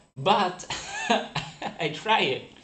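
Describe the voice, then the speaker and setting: A man speaks with a Portuguese accent and lively intonation. Audible room echo surrounds his voice. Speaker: forex trader. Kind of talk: live stream casual chat. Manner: halting.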